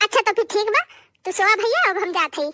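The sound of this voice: Bright and sharp, a woman's cartoonish character voice jumps through big pitch swings at an extremely high pitch, in a dry, close sound with no echo. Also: fairly quick pace.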